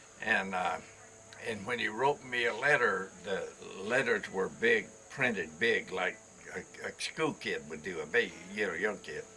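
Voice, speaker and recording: Through noticeable background noise, a man's fairly slow delivery can be heard. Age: 80s+. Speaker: cowboy rancher and outfitter. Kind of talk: casual storytelling interview. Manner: halting, repeats words.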